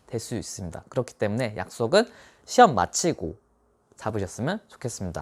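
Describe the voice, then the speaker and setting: The voice shows very wide pitch swings and vocal fry, on a very clean recording with a silent background and a dry, close sound with no echo. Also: man. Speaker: tax accountant giving exam advice. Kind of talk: monologue tutorial. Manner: speeds up toward the end.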